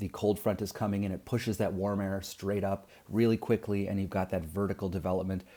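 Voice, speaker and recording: Speaking at a fairly quick pace with hardly any pauses, a man keeps a monotone, flat intonation. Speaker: science teacher. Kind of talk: lecture. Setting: recorded video lesson. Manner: fast; casual, many fillers.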